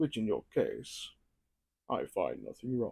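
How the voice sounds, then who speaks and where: In a put-on character voice, a man talks at a moderate pace. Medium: solo performance. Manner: measured, inquisitive.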